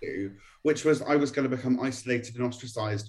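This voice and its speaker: A man speaks at a fairly quick pace, somewhat breathy, with ordinary pitch variation. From Norwich, England. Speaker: HIV activist. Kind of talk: radio interview.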